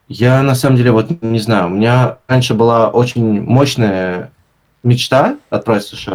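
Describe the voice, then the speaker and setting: A man at medium pitch with an ordinary speaking voice, fairly even intonation and a fairly slow pace. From St Petersburg, Russia. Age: 20s. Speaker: designer and blogger. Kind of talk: casual interview.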